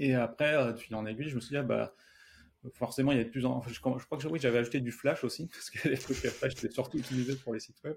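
There is vocal fry in this man's medium-pitched voice as he talks at a very fast pace with fairly even intonation. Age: 30s. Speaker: software developer and startup founder. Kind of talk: interview.

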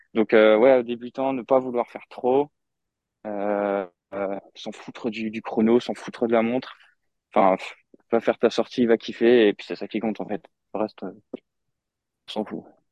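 A man's dark, mellow, monotone voice at a medium pitch, fairly slow, with long, frequent pauses, big swings in loudness, and a dry, close sound with no echo. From France, Moselle. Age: 20s. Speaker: amateur endurance athlete. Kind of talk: podcast interview. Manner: hesitant.

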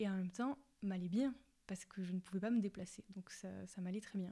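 Somewhat breathy and dark, mellow in tone, a woman talks at a very fast pace with fairly even intonation. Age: 20s. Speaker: patient advocate and platform founder. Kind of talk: testimony. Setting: at home. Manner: halting.

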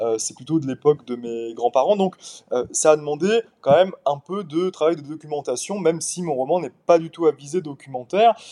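Music plays in the background of this dry, close recording with no echo. The speaker talks at a moderate pace with ordinary pitch variation. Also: man, fairly high pitch for a man. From Paris suburbs, France. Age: 20s. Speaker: novelist. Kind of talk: interview.

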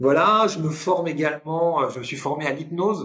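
A bright, sharp tone marks this voice. It belongs to a man. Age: 50s. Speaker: public speaking coach and trainer. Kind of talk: casual interview.

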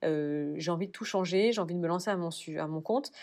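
A woman with an unremarkable speaking voice talks at a fairly quick pace in a fairly low pitch. Her pitch varies in an ordinary way over a quiet background. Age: 30s. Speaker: cosmetics brand co-founder. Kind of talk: interview.

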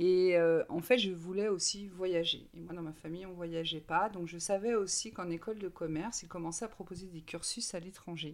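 An ordinary speaking voice at a moderate pace with hardly any pauses, big swings in loudness and fairly even intonation. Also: woman, fairly low pitch for a woman. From Brittany, France. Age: 40s. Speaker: recruiter. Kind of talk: interview.

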